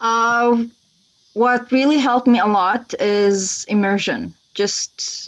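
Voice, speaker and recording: In an Arabic accent, a woman speaks very slowly at a fairly high pitch, her loudness very even and her intonation fairly even. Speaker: language teacher. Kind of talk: casual interview.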